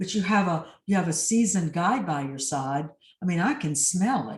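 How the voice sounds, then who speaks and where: With lively intonation, a woman talks at a moderate pace in a somewhat breathy, fairly low voice. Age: 60s. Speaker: executive and life coach. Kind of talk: interview.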